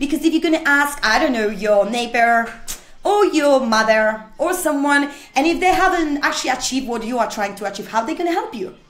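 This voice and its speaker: Lively intonation and a fairly quick pace in a non-native accent, with audible room echo. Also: woman, high pitch for a woman. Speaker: motivational speaker. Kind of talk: motivational talk. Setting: studio. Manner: animated.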